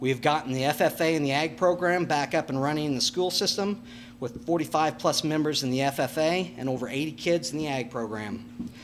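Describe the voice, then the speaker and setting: With an American accent, a man speaks at a fairly quick pace in a fairly high pitch, with ordinary pitch variation and noticeable background noise. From Nebraska, US Midwest. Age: 40s. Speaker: farmer and school board candidate. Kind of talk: candidate forum speech. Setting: public candidate panel. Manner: halting.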